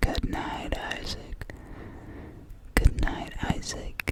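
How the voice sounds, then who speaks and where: A man whispering at a very slow pace over noticeable background noise. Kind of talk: ASMR whispered goodnight list. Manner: whispered.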